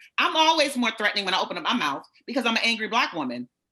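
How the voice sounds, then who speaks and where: The speech is loud and very fast, with an animated tone. Its pitch swings very wide. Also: woman. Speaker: author and inspirational speaker. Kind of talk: panel discussion.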